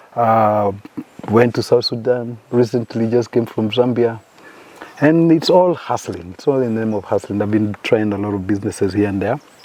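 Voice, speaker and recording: A man speaks at a moderate pace while noticeable background noise is heard. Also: medium pitch for a man, ordinary pitch variation. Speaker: hospice director, former navy. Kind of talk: casual podcast conversation. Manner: hesitant, repeats words.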